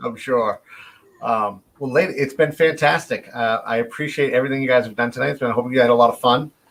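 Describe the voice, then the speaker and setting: With a Boston accent, a man speaks very fast at a medium pitch, his intonation fairly even. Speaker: interview host. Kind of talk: live interview chat. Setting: live virtual broadcast.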